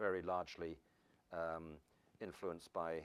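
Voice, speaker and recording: A British-accented man, or rather a man with a British accent. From England. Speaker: professor. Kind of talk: lecture. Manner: fast; halting.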